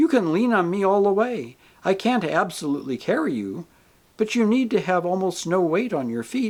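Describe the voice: The reading is plain reading aloud, carried by lively intonation.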